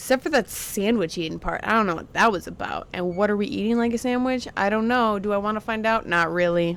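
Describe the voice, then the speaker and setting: Her tone animated and her intonation lively, a woman talks at a fairly high pitch. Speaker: YouTuber reacting to music videos. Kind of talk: casual reaction commentary. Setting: recording at home on brother's PC. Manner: loud and out there.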